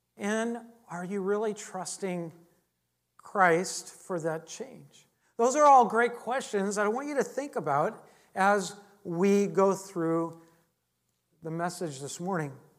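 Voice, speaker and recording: Amid audible room echo, a woman speaks at a very slow pace with lively intonation and long, frequent pauses. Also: medium pitch for a woman, big swings in loudness. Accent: American. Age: 50s. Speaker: pastor. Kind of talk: sermon. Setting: church.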